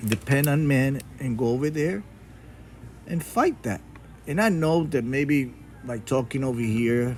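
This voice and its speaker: A man's fairly slow, medium-pitched speech in a Spanish accent, with ordinary pitch variation and long, frequent pauses. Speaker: YouTuber and coin collector. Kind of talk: casual vlog monologue. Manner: halting, with fillers and restarts.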